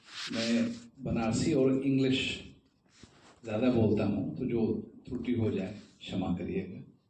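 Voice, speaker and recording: A man is speaking with long, frequent pauses. Room echo can be heard. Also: medium pitch for a man, ordinary pitch variation. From India, Varanasi. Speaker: tabla player. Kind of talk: talk at a seminar. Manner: formal.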